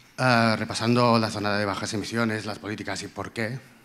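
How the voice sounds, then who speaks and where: Speaking at a fairly quick pace, a man with a fairly low pitch has a Catalan accent. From Catalonia, Empordà; Catalonia. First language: Catalan (speaking Spanish). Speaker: audience member. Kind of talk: audience question. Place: hall. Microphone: handheld.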